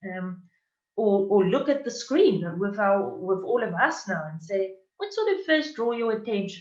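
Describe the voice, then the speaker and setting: A woman with a South African accent speaks with very wide pitch swings. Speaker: university diversity workshop facilitator. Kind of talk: conference presentation. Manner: hesitant, many fillers.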